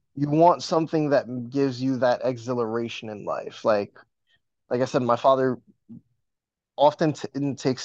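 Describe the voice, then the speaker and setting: The background stays quiet. A man's voice is heard. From New York, Dominican heritage. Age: 20s. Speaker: podcaster. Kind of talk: casual chat.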